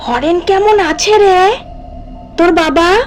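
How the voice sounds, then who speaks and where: Over clear music in the background, a woman uses a put-on character voice at an extremely high pitch with ordinary pitch variation. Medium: audio drama. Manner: warm, familiar, cooing.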